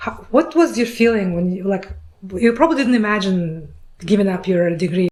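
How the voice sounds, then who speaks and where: Very fast speech with lively intonation and long, frequent pauses. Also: woman, medium pitch for a woman. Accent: Russian. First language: Russian. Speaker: podcast host. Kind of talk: interview. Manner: halting.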